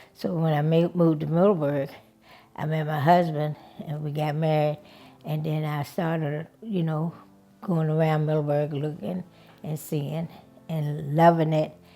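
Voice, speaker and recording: A woman speaks at a moderate pace in a very deep, low voice, with long, frequent pauses and music playing in the background. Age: 80s+. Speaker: oral history interviewee. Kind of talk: oral history interview. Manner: halting, with many fillers.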